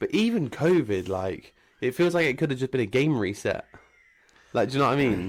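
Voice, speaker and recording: His pitch rises and falls very widely. The man's pace is fairly quick. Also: medium pitch for a man, very clean recording, silent background. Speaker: podcast host. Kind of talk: casual chat. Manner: fast; animated.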